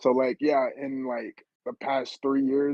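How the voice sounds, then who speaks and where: The sound is dry and close with no echo, the man's tone dark and mellow. He speaks in a monotone with flat intonation. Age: 20s. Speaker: podcast guest. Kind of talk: casual chat.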